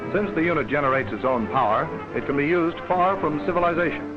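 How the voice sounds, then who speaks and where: Music plays behind a man with a fairly high pitch and an upbeat tone. He speaks very fast with lively intonation. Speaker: newsreel narrator. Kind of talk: newsreel narration. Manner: brisk, upbeat.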